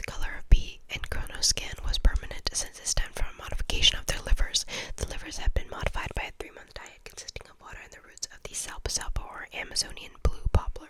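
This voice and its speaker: A woman whispering at a very fast pace, with hardly any pauses, big swings in loudness and noticeable background noise. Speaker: ASMR content creator. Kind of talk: audiobook-style reading.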